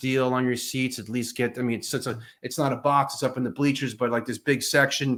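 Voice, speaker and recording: A man with a New York accent, at a fairly quick pace. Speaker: podcast host. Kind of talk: casual interview chat.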